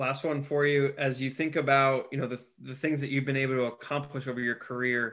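A man with an ordinary speaking voice, medium pitch and a moderate pace. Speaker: podcast host. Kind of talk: interview.

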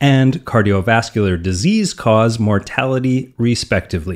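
Speaking with a Canadian accent, a man has a normal speaking voice at a medium pitch. His moderate pace comes through on a very clean recording with a silent background. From Canadian prairies. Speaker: fitness podcast host. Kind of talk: scripted narration.

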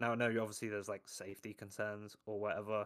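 A man talks in a London accent at a medium pitch. His tone is bright and sharp. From London, England. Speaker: football analyst. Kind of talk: casual chat.

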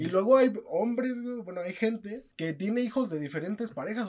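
This man speaks with a Mexican accent at a high pitch. His pace is fairly quick. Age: 20s. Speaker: podcast host. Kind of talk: casual chat.

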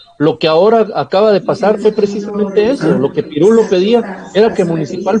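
A man with a high-pitched voice. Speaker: football pundit. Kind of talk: heated debate.

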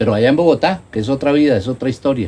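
The speaker is a man. His tone is dark and mellow. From Colombia, La Mesa (Cundinamarca). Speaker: nature park owner and entrepreneur. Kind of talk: casual interview. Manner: halting, many repetitions and fillers.

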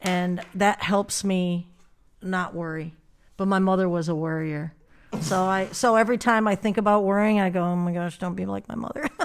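Talking with an American accent, a woman keeps a medium pitch and a moderate pace. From Michigan, US. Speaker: business manager, songwriter. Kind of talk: casual interview. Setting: studio.

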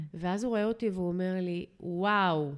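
A woman talks at a fairly quick pace in a medium pitch. Her intonation stays fairly even. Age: 40s. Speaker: marketing executive sharing her relationship story. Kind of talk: interview.

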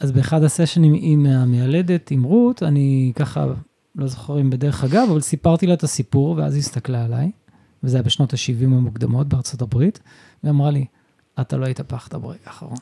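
A man talks at a moderate pace in a somewhat breathy, dark, mellow tone, fairly high in pitch with ordinary pitch variation, and the sound is dry and close with no echo. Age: 50s. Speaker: stay-at-home father and photographer. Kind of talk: casual interview conversation. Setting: wife's clinic.

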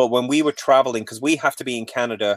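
A man speaks with a Mancunian accent in a very clean recording with a silent background, the sound dry and close with no echo. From Manchester, England. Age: 40s. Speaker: graphic designer and bus-dwelling traveler. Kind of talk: casual interview conversation.

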